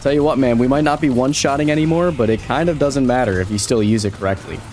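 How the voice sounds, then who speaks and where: Over music in the background, the speaker goes at a very fast pace with ordinary pitch variation and very even loudness. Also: man, medium pitch for a man. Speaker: gaming YouTuber. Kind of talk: gameplay commentary. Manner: animated.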